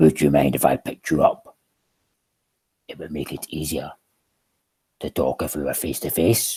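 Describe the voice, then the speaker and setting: A man whispering in a put-on character voice at a moderate pace, with long, frequent pauses. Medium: read story. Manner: boastful but weary.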